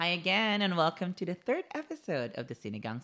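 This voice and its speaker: This very clean recording with a silent background features a speaker with a Filipino accent. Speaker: podcast host. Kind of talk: casual chat; scripted intro.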